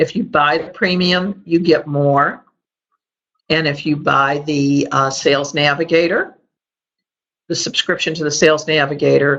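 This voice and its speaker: A woman with a slight Chicago accent and a very deep, low pitch talks at a fairly slow pace with fairly even intonation and long, frequent pauses. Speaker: sales and marketing trainer. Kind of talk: webinar training presentation.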